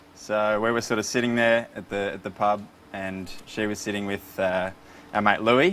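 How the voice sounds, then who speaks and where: Intonation stays fairly even as the speech proceeds at a moderate pace. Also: man, fairly low pitch for a man. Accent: Australian. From Melbourne, Australia. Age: 20s. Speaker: quiz contestant. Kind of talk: casual chat.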